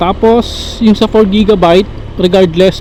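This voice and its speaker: A man at a fairly slow pace, ordinary pitch variation, noticeable background noise behind him. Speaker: motorcycle vlogger testing action camera. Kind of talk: casual vlog while riding. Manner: speaking more softly than usual.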